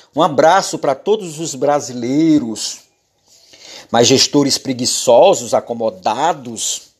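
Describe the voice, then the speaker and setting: Very wide pitch swings mark speech delivered at a very slow pace. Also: man. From Maranhão, Brazil (rural interior, Araioses). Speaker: podcaster, journalist and preacher. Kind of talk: solo podcast monologue, political and religious.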